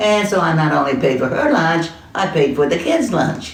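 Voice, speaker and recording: A woman's very deep, low voice comes through with audible room echo and noticeable background noise. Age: old. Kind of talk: casual chat.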